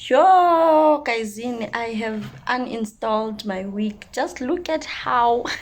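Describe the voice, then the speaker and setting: A woman speaks in a South African accent at a fairly high pitch with lively intonation. Her pace is very slow and she hardly pauses at all. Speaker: vlogger. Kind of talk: casual vlog. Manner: animated.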